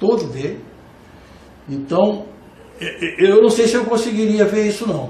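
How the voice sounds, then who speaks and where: Audible room echo surrounds a man with a high pitch and lively intonation who speaks at a moderate pace, leaving long, frequent pauses. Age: 60s. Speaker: jurist and law professor. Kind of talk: panel debate. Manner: halting, repeated words.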